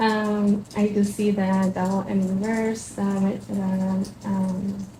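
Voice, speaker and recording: A woman with a Spanish accent speaks at a very slow pace and a medium pitch, in a monotone, flat intonation with very even loudness. Audible room echo and noticeable background noise fill the recording. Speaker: tarot reader. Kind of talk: tarot reading. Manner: halting, many fillers.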